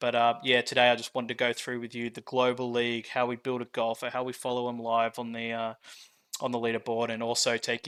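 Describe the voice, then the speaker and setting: In an Australian accent, the speaker goes at a very fast pace with monotone, flat intonation, and the sound is dry and close with no echo. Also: man. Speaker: game designer and founder. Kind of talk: product walkthrough. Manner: casual, with many fillers.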